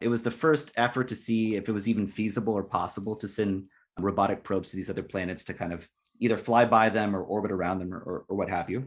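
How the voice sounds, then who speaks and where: Talking at a very fast pace over a quiet background, a man uses a fairly low pitch and fairly even intonation. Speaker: sociologist and postdoc. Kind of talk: interview. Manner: halting, with many fillers.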